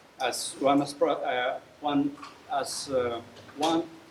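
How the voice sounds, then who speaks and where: A man's fairly high voice at a very slow pace, with audible room echo and noticeable background noise. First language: Spanish. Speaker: professor and political activist. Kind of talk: lecture. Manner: halting.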